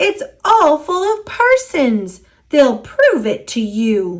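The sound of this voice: A woman puts on a character voice at a high pitch, speaking slowly with very wide pitch swings.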